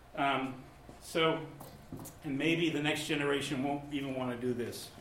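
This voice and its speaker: Noticeable background noise behind a man's fairly high voice with an American accent, fairly even intonation, and a moderate pace. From Massachusetts. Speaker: author and newspaper columnist. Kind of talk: author talk with slides. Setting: library event with live audience.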